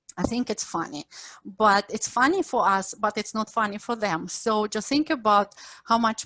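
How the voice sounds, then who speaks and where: A woman speaks at a moderate pace and a medium pitch, with ordinary pitch variation and a dry, close sound that has no echo. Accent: Ukrainian. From Ukraine. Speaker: professor. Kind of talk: lecture.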